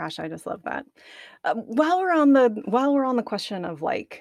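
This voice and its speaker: A woman at a moderate pace with lively intonation, in a dry, close sound with no echo and a very clean recording with a silent background. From Arkansas. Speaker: podcast host. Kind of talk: casual interview.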